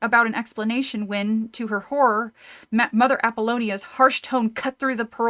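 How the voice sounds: A natural reading voice carries fairly even intonation.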